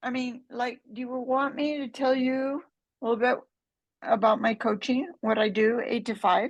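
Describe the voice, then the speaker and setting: A woman speaks at a moderate pace in a high voice. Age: 70s. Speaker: life coach for mothers. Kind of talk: podcast interview. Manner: animated.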